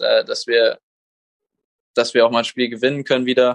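The dry, close recording with no echo captures a man at a medium pitch talking at a fairly quick pace. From Germany, grew up in Munich (born in Koblenz). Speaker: professional footballer. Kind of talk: interview. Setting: video call.

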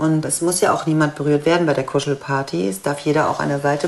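Over noticeable background noise, a woman speaks at a very deep, low pitch with ordinary pitch variation. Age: 50s. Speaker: cuddle therapist in training. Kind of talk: interview testimony.

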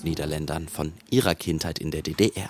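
This man has a very deep, low pitch with ordinary pitch variation. He speaks at a moderate pace. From western Germany. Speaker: radio reporter. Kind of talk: scripted narration.

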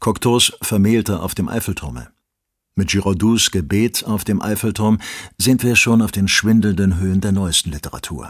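A man with a fairly low pitch and ordinary pitch variation is heard on a very clean recording against a silent background. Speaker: audiobook narrator. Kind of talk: literary essay reading, read aloud from a written text. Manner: measured, formal, deliberate delivery.

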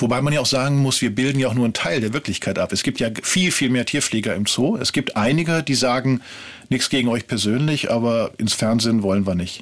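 With a normal speaking voice, a man talks at a fairly quick pace and ordinary pitch variation. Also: medium pitch for a man, very even loudness. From Ruhr area, western Germany. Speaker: TV documentary writer. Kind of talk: interview. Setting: studio.

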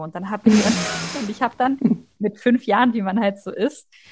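Against a quiet background, a woman with a fairly high pitch speaks at a moderate pace, somewhat breathy, with ordinary pitch variation. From Leipzig, Saxony. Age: 20s. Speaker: master's student. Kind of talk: personal testimony interview. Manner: hesitant, many fillers.

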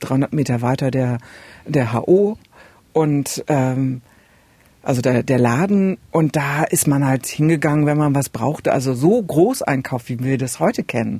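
This woman's voice is very deep and low, with a dark, mellow tone. She speaks at a fairly slow pace. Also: ordinary pitch variation. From East Germany, Saxony-Anhalt border area. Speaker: radio podcast host. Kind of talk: casual chat.

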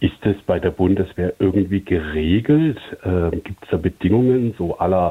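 Delivered at a fairly slow pace, a man's very deep, low voice carries ordinary pitch variation. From Stuttgart, southwest Germany. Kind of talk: voicemail question. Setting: phone voicemail.

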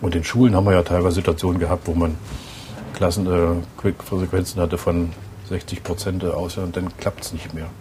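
Noticeable background noise sits behind a man whose very deep, low voice moves at a fairly quick pace in a flat monotone. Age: 60s. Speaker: city mayor. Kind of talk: interview; reading aloud. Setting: in a bus and outdoors.

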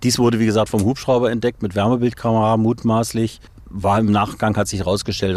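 A man speaks very quickly, his pitch sitting fairly low. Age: 50s. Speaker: volunteer fire chief. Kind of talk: interview testimony. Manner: halting.

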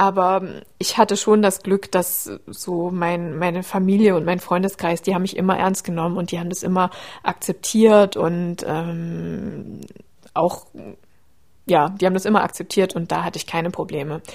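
A woman in an ordinary speaking voice, at medium pitch, talks at a moderate pace with fairly even intonation. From Saxony, Leipzig. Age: 30s. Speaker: endometriosis patient. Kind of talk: interview.

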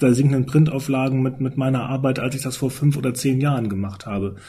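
A man's fairly high voice, somewhat breathy, with a dark, mellow tone and ordinary pitch variation. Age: 50s. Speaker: newspaper editor-in-chief. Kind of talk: casual panel discussion.

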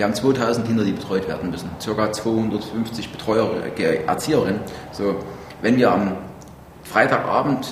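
A man talks at a moderate pace and a medium pitch, with ordinary pitch variation. Audible room echo and noticeable background noise are present. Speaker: mayor. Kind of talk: work meeting. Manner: blunt.

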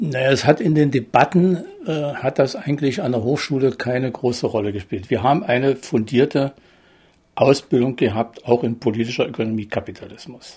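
A somewhat breathy man, medium in pitch, at a moderate pace with ordinary pitch variation. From eastern Germany, Börde (Saxony-Anhalt). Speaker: retired economic planner. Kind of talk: interview. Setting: at home. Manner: halting.

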